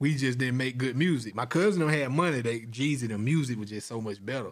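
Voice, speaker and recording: Speaking at a fairly quick pace, a man with a Georgia accent uses a medium pitch and ordinary pitch variation. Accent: Southern US, Georgia. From US South, middle Georgia (Forsyth, Monroe County). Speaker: rapper and film producer. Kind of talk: casual chat.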